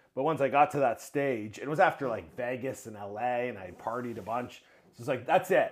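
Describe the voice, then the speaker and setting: A man with an ordinary speaking voice and medium pitch talks at a fairly quick pace, with ordinary pitch variation and big swings in loudness. The recording is very clean, with a silent background. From Ontario, Canada (Mississauga). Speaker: YouTube show host. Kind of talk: casual interview chat. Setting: home studio.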